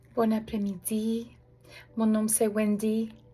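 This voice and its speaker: Her voice sits fairly high for a woman, with a non-native accent. The tone is dark and mellow and somewhat breathy. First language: not French (French is her third language) (speaking French). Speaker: prayer ministry leader. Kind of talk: religious appeal message. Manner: halting, many hesitations.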